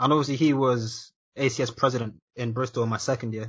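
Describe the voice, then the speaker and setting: Somewhat breathy, this man delivers his words with monotone, flat intonation. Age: 20s. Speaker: podcast host. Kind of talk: casual chat.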